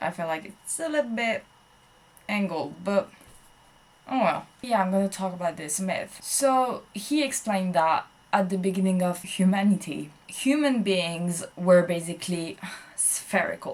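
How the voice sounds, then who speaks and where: This woman has a French accent. Her medium-pitched voice moves with lively intonation. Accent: French accent, self-described. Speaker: vlogger. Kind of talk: casual monologue. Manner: hesitant, many fillers.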